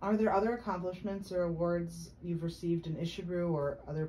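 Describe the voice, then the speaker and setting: Against noticeable background noise, a woman with a fairly low voice speaks at a fairly quick pace with fairly even intonation. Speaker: oral historian. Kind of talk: interview questions.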